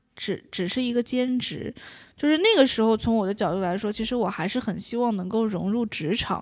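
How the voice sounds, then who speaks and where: The speaker uses an unremarkable speaking voice at a fairly quick pace. The background is silent on a very clean recording. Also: woman, fairly high pitch for a woman, ordinary pitch variation. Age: 20s. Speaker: audiobook narrator. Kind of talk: interview.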